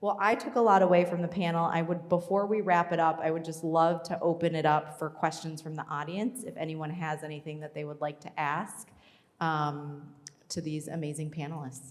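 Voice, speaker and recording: A woman with an American accent speaks fairly quickly in a plain, everyday voice, her pitch fairly low and her intonation fairly even. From Minnesota. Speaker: panel moderator. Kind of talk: panel discussion. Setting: stage with audience.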